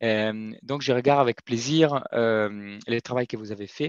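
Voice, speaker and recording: A man speaks at a fairly slow pace with ordinary pitch variation, the sound dry with no echo against a quiet background. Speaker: corporate sustainability manager; guest. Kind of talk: webinar testimony. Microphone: video call.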